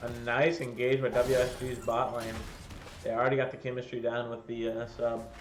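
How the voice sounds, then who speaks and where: A man at a moderate pace and medium pitch, with audible room echo. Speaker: esports caster. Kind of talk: live commentary. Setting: live stream. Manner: animated.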